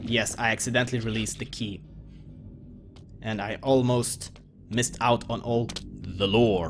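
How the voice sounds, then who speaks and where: A man talks with a slight Russian accent, leaving long, frequent pauses. Music plays in the background. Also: medium pitch for a man, fairly even intonation, moderate pace. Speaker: video game let's player. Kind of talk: gameplay commentary. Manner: casual with frequent hesitations.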